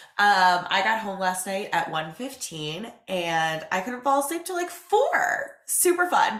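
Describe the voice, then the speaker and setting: Her tone is animated, and this woman's medium pitch swings very widely at a fairly slow pace with hardly any pauses. Noticeable background noise and audible room echo are present. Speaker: podcast host and business owner. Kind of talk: casual solo podcast talk. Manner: animated, chatty.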